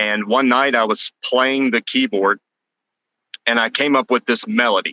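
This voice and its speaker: A man with an American accent speaks at a fairly slow pace in a bright, sharp tone, his pitch medium, his loudness very even and his intonation fairly even, in a dry, close sound with no echo. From Texas (Orange, southeast Texas). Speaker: musician. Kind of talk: interview.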